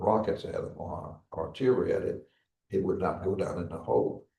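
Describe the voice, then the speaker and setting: In a room with audible echo, a man talks at a moderate pace. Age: 90s. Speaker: Korean War veteran, former chaplain. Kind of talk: interview, war recollections. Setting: veterans memorial building, live broadcast. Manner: halting, repetitive.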